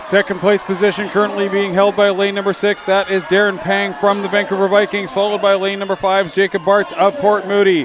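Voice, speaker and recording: A man with a high pitch talks fairly quickly, with hardly any pauses, in a monotone, flat delivery. Noticeable background noise runs behind him. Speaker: sports commentator. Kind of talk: live commentary. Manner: fast.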